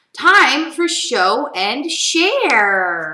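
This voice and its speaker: A woman uses a put-on character voice, pitched high and swinging very widely up and down. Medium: read story. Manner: calm, instructive.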